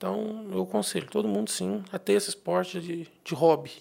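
The recording is very clean and the background silent. Delivery proceeds at a moderate pace. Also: man. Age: 30s. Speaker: accountant. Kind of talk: casual interview. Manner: halting, many repetitions.

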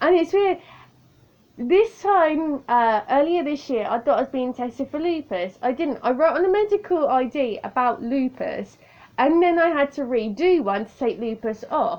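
In a southern English accent, a woman speaks at a fairly slow pace with a high pitch, very wide pitch swings and big swings in loudness. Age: 30s. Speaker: podcaster. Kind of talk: casual monologue. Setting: home recording on tablet.

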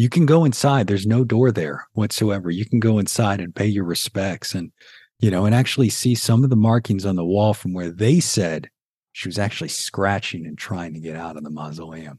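Lively intonation and a moderate pace mark this speaker's Southern accent. The background is quiet. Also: man. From New Orleans, Louisiana. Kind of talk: interview conversation.

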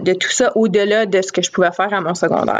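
At a moderate pace, a woman talks at a medium pitch in a normal speaking voice. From Northern Ontario, Sturgeon Falls. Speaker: education professor and doctoral student. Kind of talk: casual interview.

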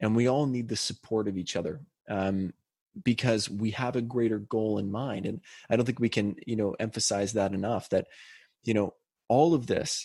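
A man with a Canadian accent and a plain, everyday voice, fairly low in pitch, with ordinary pitch variation, a moderate pace and a quiet background. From Canada (British Columbia). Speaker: podcast co-host. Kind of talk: casual chat.

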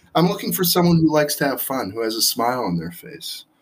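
With an American accent and vocal fry, a man speaks with very wide pitch swings. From Israel. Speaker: restaurant owner.

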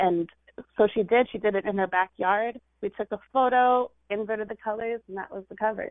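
Using a plain, everyday voice, a woman with an American accent speaks at a medium pitch and a fairly quick pace, with ordinary pitch variation. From California. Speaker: poet. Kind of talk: casual interview chat. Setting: studio.

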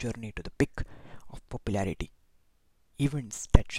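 Vocal fry marks this man's medium-pitched voice, which has a Marathi accent and ordinary pitch variation. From India, Maharashtra. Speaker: podcast host, film recommender. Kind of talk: solo podcast monologue, reading plot summaries.

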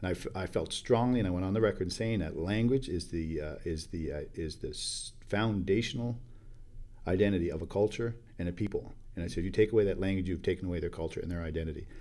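Very fast and very deep, a man's voice carries a dark, mellow tone and ordinary pitch variation. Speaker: First Nation chief. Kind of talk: interview. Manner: halting, many filler words.

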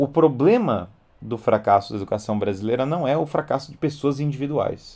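A man speaks at a moderate pace with a fairly high pitch, a dark, mellow tone and lively intonation. The recording is very clean, with a silent background. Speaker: educator and live-stream host. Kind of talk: live-stream lecture with Q&A.

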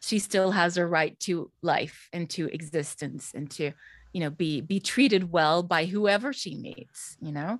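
On a very clean recording with a silent background, a woman with a Swedish accent speaks at a fairly slow pace, her pitch fairly low with ordinary variation. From Sweden. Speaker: voice actor and drama teacher. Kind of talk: casual interview.

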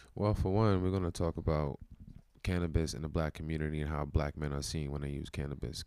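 Very deep and low, a man's voice with a dark, mellow tone and a New York accent races at a very fast pace with ordinary pitch variation. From New York City (Brooklyn). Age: 30s. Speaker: wellness community founder. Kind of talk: casual interview.

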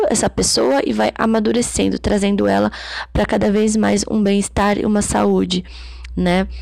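A woman's voice over noticeable background noise. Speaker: psychology educator. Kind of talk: lecture. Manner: reads passages then paraphrases with fillers.

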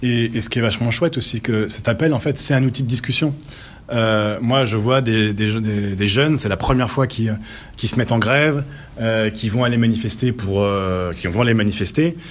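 Noticeable background noise sits behind a man of medium pitch. He talks at a moderate pace with ordinary pitch variation and very even loudness. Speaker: freelance developer. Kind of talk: casual discussion. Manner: animated.

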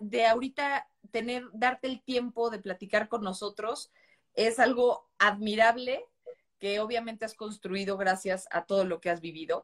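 A woman speaks at a fairly slow pace with a fairly high pitch. Her pitch varies in an ordinary way, and the sound is dry and close with no echo. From Mexico. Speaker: journalist and live-stream host. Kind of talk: casual interview. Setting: live video stream.

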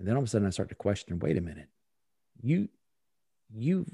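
Somewhat breathy, the voice has a dark, mellow tone and a dry, close sound with no echo. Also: man. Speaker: performance consultant and speaker. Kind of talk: interview. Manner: animated.

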